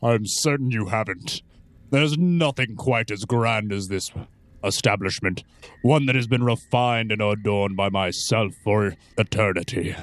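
A man speaks at a moderate pace in a put-on character voice. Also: medium pitch for a man. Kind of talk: grandiose villain acting. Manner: pompous, condescending, silky persuasive.

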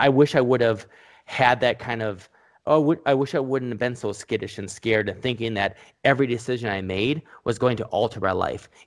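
Over a silent background on a very clean recording, a man speaks fairly quickly at medium pitch with ordinary pitch variation. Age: 30s. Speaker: e-commerce entrepreneur. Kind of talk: casual interview. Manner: halting, many fillers.

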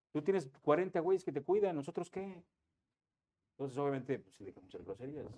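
A man with a dark, mellow tone uses lively intonation, big swings in loudness, and long, frequent pauses. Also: fairly high pitch for a man. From Cuernavaca, Mexico. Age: 50s. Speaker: radio sports announcer. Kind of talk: casual chat.

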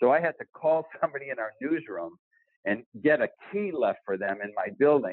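In a fairly high pitch with very wide pitch swings, a man talks with an American accent. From Boston. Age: 60s. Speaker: TV sports reporter. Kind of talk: casual chat.

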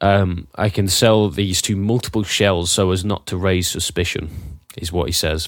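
Speaking with a British accent, a man has a very deep, low pitch and a fairly slow pace with hardly any pauses. The recording is very clean, with a silent background. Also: fairly even intonation. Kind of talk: casual chat.

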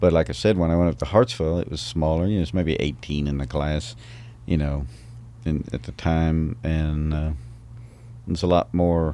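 With a Southern US accent, a man speaks at a moderate pace in a very deep, low voice with a dark, mellow tone. His pitch varies in an ordinary way, and he leaves long, frequent pauses. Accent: Southern US, noticeable. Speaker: singer-songwriter. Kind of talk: casual interview chat. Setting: recording studio.

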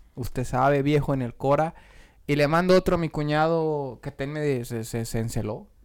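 A man speaks at a moderate pace with a fairly high pitch and ordinary pitch variation, on a very clean recording with a silent background. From Mexico, Michoacán. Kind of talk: casual chat.

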